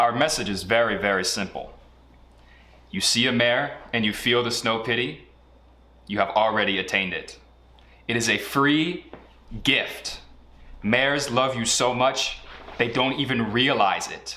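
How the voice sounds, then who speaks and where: Audible room echo surrounds a man speaking at a fairly slow pace with long, frequent pauses, his medium-pitched voice bright and sharp in tone with ordinary pitch variation. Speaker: online group presenter. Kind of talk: mock sermon.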